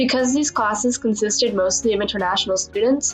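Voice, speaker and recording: With music in the background, a woman with an American accent talks in a fairly high pitch with fairly even intonation. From Northern Virginia, USA. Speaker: college student. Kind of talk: personal documentary narration.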